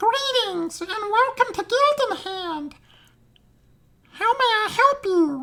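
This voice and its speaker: A squeaky, put-on character voice at an extremely high pitch, fairly slow, with long, frequent pauses. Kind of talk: cheerful customer-service greeting.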